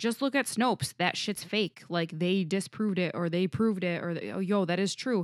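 A woman speaks in an ordinary speaking voice at a medium pitch, with ordinary pitch variation, a moderate pace and hardly any pauses. The very clean recording has a silent background and a dry, close sound with no echo. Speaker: podcast co-host. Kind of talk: casual chat. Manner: laughs often.

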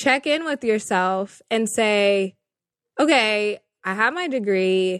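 In an ordinary speaking voice, a woman with an American accent talks at a medium pitch with lively intonation. The sound is dry and close with no echo, and the background is quiet. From Northern California. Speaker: journalist and media manager. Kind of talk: interview.

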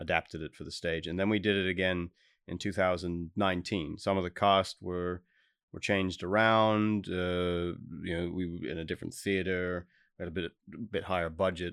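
A man talks at a moderate pace in a very deep, low voice with flat, monotone intonation. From Australia. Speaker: actor. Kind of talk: interview.

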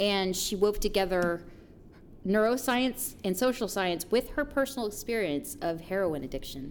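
An ordinary speaking voice from a woman, medium in pitch, with lively intonation and a moderate pace. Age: 30s. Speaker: podcast co-host, counseling student. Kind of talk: casual chat.

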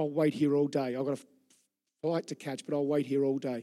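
A man with an Australian accent, a dark, mellow tone, fairly high pitch and a moderate pace. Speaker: pastor. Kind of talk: sermon. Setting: church. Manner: animated.

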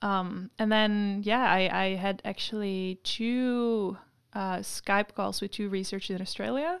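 With a Dutch accent, a woman speaks at a medium pitch and a fairly slow pace. Her intonation is fairly even on a very clean recording with a silent background. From Netherlands, Amsterdam. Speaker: PhD researcher. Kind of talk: interview.

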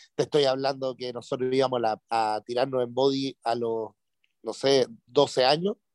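A man speaks at a medium pitch and moderate pace with fairly even intonation. His is an ordinary speaking voice. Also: dry, close sound with no echo. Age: 30s. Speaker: radio DJ. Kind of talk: casual chat.

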